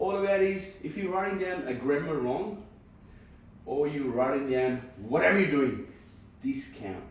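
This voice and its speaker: A man with a fairly high voice and lively intonation speaks at a moderate pace with long, frequent pauses, amid audible room echo and noticeable background noise. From Punjab, India. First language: Punjabi. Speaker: podcaster. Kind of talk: casual chat.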